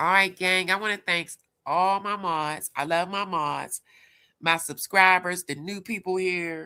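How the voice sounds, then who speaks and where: At a fairly slow pace, a woman with a Pittsburgh accent speaks at medium pitch in a bright, sharp tone, her intonation fairly even, on a very clean recording with a silent background. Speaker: livestream commentator. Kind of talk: casual livestream chat.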